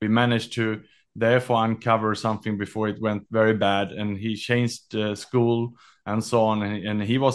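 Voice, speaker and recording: Over a quiet background, a man talks at a fairly quick pace in a fairly low, monotone voice with flat intonation. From Sweden. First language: Swedish. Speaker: author and executive mental health advocate. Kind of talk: interview. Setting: remote call.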